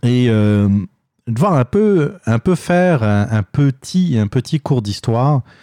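A man's medium-pitched, dark, mellow voice makes very wide pitch swings, captured dry and close with no echo in a very clean recording with a silent background. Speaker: opinion podcast host. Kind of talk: solo opinion monologue. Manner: halting, many fillers and repetitions.

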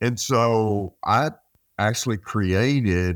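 Dry and close with no echo, the recording is very clean against a silent background. A man speaks at a fairly low pitch with ordinary pitch variation. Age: 70s. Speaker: mortgage industry advisor. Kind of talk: casual interview.

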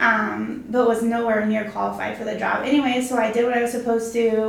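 Amid noticeable background noise, a woman with an American accent speaks at a fairly quick pace. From Arizona. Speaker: real estate agent and team leader. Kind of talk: casual interview chat.

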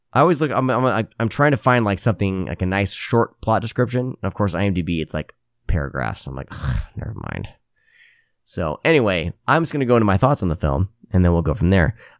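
A fairly low-pitched man's voice with an American accent, vocal fry and very wide pitch swings, in a dry, close sound with no echo and a very clean recording with a silent background. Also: fairly quick pace. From Iowa, US Midwest. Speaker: horror podcast host. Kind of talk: casual chat.

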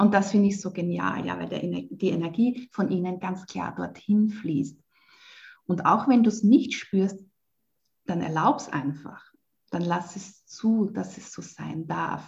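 A woman speaks very slowly at a medium pitch with vocal fry, her loudness swinging widely and her pitch varying in an ordinary way. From Lower Austria. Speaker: spiritual coach. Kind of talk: interview.

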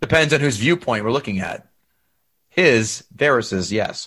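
In an animated tone, a man speaks with very wide pitch swings. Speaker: podcast host. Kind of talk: casual chat.

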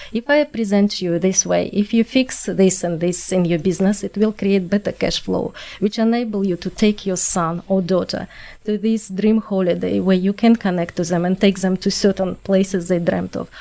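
A woman's dark, mellow tone in a strong non-native accent. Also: medium pitch for a woman, fairly even intonation, moderate pace. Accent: strong foreign. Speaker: podcast co-host. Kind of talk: interview.

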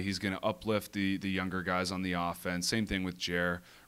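A very clean recording with a silent background and a bright, sharp tone. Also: man. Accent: Ontario. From Ontario, Canada (east of Toronto). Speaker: professional lacrosse player. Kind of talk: casual interview.

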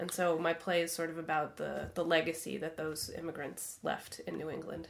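A woman with an American accent speaks at a fairly low pitch, her voice showing vocal fry. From Vermont, US. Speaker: actor and writer. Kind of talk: interview.

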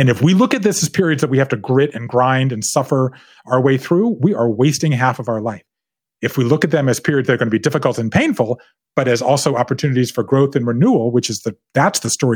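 A man with a plain, everyday voice, medium in pitch, at a fairly quick pace with ordinary pitch variation. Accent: American. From US South, coastal Georgia (Savannah). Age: 50s. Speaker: author. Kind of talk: casual chat. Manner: laughs often.

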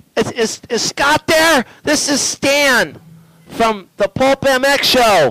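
A man's raised, projected voice at an extremely high pitch, very slow and very even in loudness. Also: ordinary pitch variation. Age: 20s. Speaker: motocross podcast co-host. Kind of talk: casual chat. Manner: animated.

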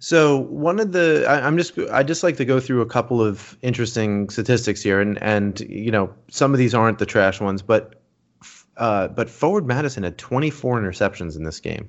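A man's medium-pitched, normal speaking voice with lively intonation and a moderate pace. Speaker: soccer podcast host. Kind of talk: casual banter, sports talk podcast.

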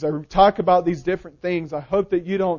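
The speaker has an American accent and fairly even intonation. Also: man. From US South. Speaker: pastor. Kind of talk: sermon.

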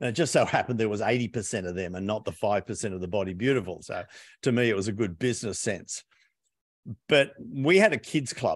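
A man's medium-pitched voice at a fairly quick pace, ordinary pitch variation, quiet background. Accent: Australian. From Australia. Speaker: business coach and author. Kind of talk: interview.

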